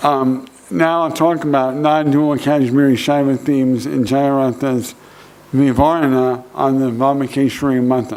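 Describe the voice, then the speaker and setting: A man with an American accent speaks at medium pitch. Audible room echo and noticeable background noise surround him. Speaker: professor. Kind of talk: conference lecture. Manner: slow, careful; hesitant, many fillers.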